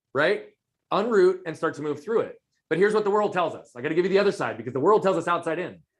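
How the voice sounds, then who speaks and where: A man with a high pitch talks loudly at a very fast pace, his pitch varying in an ordinary way. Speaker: performance coach. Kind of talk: interview.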